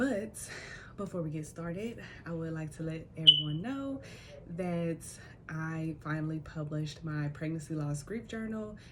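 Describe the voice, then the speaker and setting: A soft-spoken woman with a fairly low pitch talks at a moderate pace with lively intonation and long, frequent pauses, over noticeable background noise and audible room echo. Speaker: tarot reader and spiritual death doula. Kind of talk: spiritual reading. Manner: casual, conversational. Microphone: small microphone unreliable, voice quiet.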